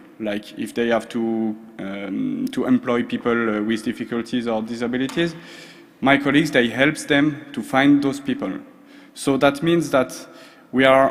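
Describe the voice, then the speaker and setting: A man with a French accent speaks at a moderate pace. His pitch is medium, with ordinary variation. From France, Strasbourg. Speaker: social procurement expert. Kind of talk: conference presentation. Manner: hesitant, many fillers.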